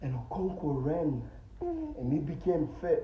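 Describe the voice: Speaking at a slow pace, a man with a fairly high pitch swings his pitch very widely, and room echo is audible.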